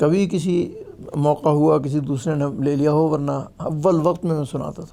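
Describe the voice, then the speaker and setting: A man's fairly high voice in a flat monotone. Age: 70s. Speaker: Quran reciter and teacher. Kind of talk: interview about life story.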